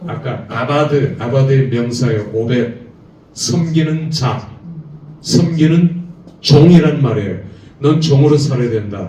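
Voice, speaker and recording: Speech at a very slow pace with long, frequent pauses and ordinary pitch variation comes through audible room echo and noticeable background noise. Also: man, medium pitch for a man. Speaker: seminary lecturer teaching preachers. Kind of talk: lecture. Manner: animated.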